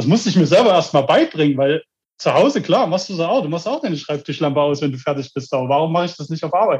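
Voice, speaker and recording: This man has an unremarkable speaking voice with a fairly high pitch. His pitch variation is ordinary. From Germany. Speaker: death metal band member, toolmaker. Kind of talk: interview.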